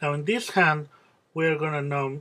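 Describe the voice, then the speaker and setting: A man's fairly high voice with a Spanish accent. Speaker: music teacher. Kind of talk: tutorial. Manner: halting, many fillers.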